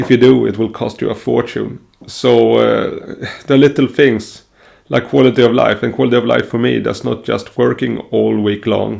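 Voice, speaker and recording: A man speaks with a Swedish accent at a moderate pace. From Sweden. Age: 30s. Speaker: self-improvement vlogger. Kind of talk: personal vlog monologue. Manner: hesitant, many fillers.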